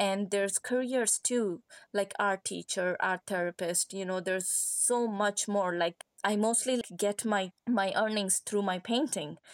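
In a Pashto accent, the voice keeps fairly even intonation in a dry, close sound with no echo, on a very clean recording with a silent background. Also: woman, medium pitch for a woman, fairly slow pace, very even loudness. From Afghanistan, Kandahar. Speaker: artist. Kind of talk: interview.

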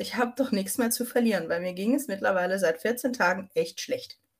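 Her voice is somewhat breathy. The woman speaks at a moderate pace. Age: 30s. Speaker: vocational school teacher with MS. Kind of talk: personal testimony.

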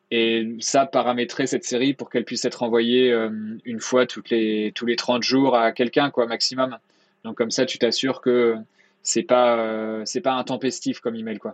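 A man's medium-pitched voice in a monotone, flat delivery at a moderate pace, with a dry, close sound and no echo. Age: 30s. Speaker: email marketing consultant. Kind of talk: interview.

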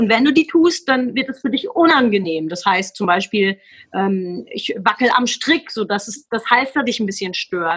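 A woman with a fairly high pitch and a bright, sharp tone speaks at a moderate pace, her voice making very wide pitch swings. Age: 40s. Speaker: sales trainer and motivational speaker. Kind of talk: casual interview.

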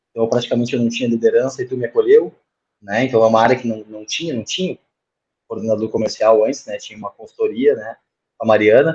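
A man speaks at a very fast pace, with a medium pitch and fairly even intonation. His loudness swings widely. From Rio Grande do Sul, Brazil (Montenegro). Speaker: sales manager. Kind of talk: casual chat.

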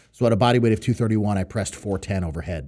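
This man has an unremarkable speaking voice and an American accent, pitched fairly low with ordinary variation. The recording is very clean, with a silent background. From New York and Connecticut, US Northeast. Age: 30s. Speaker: professional strongman. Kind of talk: casual podcast interview.

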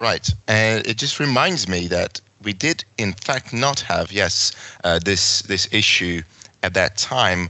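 A man with a Hungarian accent at a very slow pace. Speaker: podcast host. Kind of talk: interview. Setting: video call.

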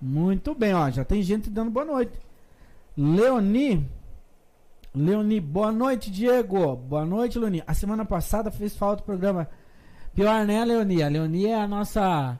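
Speaking fairly slowly with long, frequent pauses, a man uses a high pitch and a dark, mellow tone. His intonation is lively and his loudness is very even. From Curitiba, Brazil. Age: 30s. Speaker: podcast host. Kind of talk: casual interview chat.

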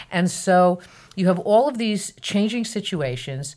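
Though hers is an unremarkable speaking voice, a woman uses lively intonation at a fairly low pitch. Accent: American. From northern New Jersey. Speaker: psychology professor. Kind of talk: interview.

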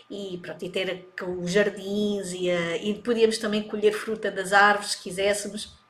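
A woman speaks at a fairly slow pace with hardly any pauses, her medium-pitched voice flat and monotone but swinging widely in loudness over noticeable background noise. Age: 40s. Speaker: digital marketing coach. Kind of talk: casual chat.

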